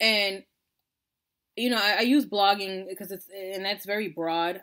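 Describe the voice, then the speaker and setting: On a very clean recording with a silent background, a woman with an American accent speaks at a medium pitch with lively intonation. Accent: Long Island accent, comes out at times. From Long Island, New York. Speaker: blogger, military wife. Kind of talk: casual vlog chat. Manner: animated, conversational.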